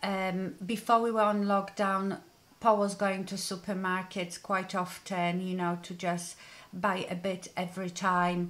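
A woman talks at a fairly slow pace. Her intonation is flat and monotone. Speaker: beauty vlogger. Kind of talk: casual vlog chat. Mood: serious, somewhat subdued. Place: home room.

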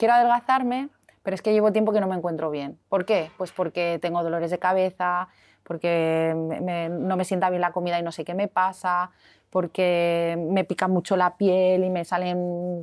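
Here is a woman with an ordinary speaking voice and a fairly low pitch. She speaks at a moderate pace against a quiet background. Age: 40s. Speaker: health and weight-loss practitioner; guest. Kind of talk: interview. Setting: hotel. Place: cafe. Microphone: lapel.

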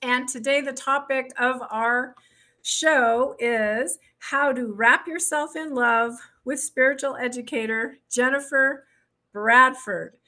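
A woman uses a raised, projected voice at a very slow pace. Her intonation stays fairly even over a quiet background. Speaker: show host. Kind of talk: podcast host introduction. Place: home room. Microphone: studio mic.

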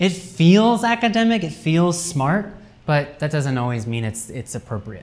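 A man with an American accent talks at a moderate pace in a fairly high pitch, his voice making very wide pitch swings. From US Midwest, Cincinnati, Ohio; Ohio. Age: 20s. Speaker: academic writing lecturer. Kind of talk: lecture. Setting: university classroom seminar with students. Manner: casual, with many fillers. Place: classroom. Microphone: camera far.

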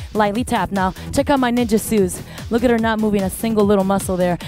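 Clear music plays in the background while a woman speaks, her voice dry with no echo. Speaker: fitness instructor. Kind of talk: workout class instruction. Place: gym.

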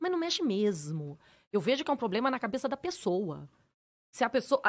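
A woman speaks at a fairly high pitch. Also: quiet background. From Brazil, Campos dos Goytacazes (Rio de Janeiro state); Rio de Janeiro state, Brazil. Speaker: fashion influencer and lawyer; fashion influencer, lawyer. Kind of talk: casual podcast interview. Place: studio. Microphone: studio mic.

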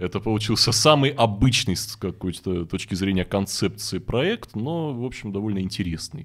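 Over a quiet background, a man with a fairly low pitch talks at a moderate pace with lively intonation and hardly any pauses. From Russian Far East (Vladivostok). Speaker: event host and forum founder; event host. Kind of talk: casual interview chat. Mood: relaxed, reflective storytelling. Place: studio. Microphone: studio mic.

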